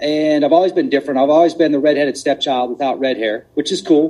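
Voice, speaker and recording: Fairly high-pitched and fairly quick, a man talks with ordinary pitch variation. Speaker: podcast host. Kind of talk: casual chat. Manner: animated.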